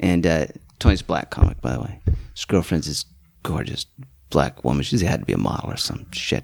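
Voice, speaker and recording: A man with an American accent speaks with a very deep, low pitch, vocal fry and lively intonation. His pace is fairly quick, yet long, frequent pauses break it up. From Utah. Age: 50s. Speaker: comedian. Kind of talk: casual chat.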